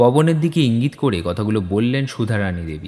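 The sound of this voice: A man talks at a fast pace and a medium pitch. His tone is dark and mellow, with lively intonation.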